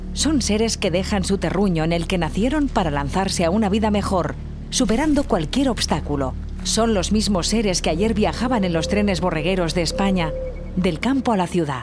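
A woman at a medium pitch speaks at a moderate pace with lively intonation and very even loudness while music plays in the background. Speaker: voice-over narrator. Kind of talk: documentary narration.

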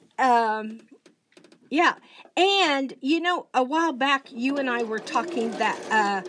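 A woman speaks loudly at a very slow pace, her high voice moving with lively intonation over light background noise. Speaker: quilting channel host. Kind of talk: casual chat. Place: home room. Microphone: phone near.

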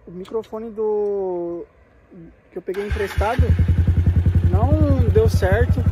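A man speaks at a very slow pace. Loud background noise runs underneath. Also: dry sound with no echo. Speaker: motorbike vlogger. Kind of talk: casual vlog chat. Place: open country. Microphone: phone near.

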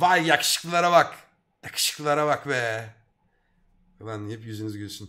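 Using lively intonation and a bright, sharp, animated tone, a man talks at a moderate pace with long, frequent pauses. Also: big swings in loudness, quiet background. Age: 30s. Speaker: streamer. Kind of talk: casual chat. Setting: live stream. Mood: cheerful, teasing. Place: home room. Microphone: headset.

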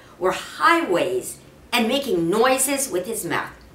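Amid audible room echo, a woman speaks slowly in a bright, sharp tone with big pitch swings.

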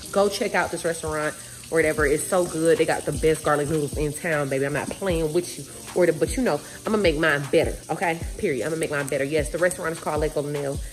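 Against light background noise, a woman talks at a very fast pace in a very deep, low pitch with ordinary pitch variation. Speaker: vlogger. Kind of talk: casual vlog chat. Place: kitchen. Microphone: phone near.

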